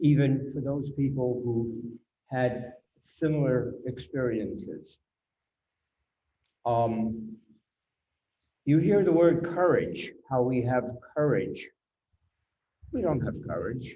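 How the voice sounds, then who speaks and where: In a room with audible echo, a man speaks very slowly in a dark, mellow, somewhat breathy tone. He leaves long, frequent pauses. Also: medium pitch for a man, ordinary pitch variation. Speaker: Holocaust survivor. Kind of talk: testimony.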